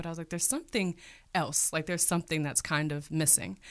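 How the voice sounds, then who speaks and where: Recorded very cleanly with a silent background, a woman with an American accent has a plain, everyday voice, fairly low in pitch, with fairly even intonation. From Cleveland, Ohio, US Midwest. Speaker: teacher. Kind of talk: interview.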